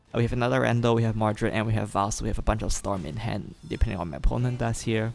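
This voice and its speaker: A soft-spoken man talks at a very fast pace. His fairly low voice carries vocal fry. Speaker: gaming youtuber. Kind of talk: gameplay commentary. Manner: hesitant, many fillers.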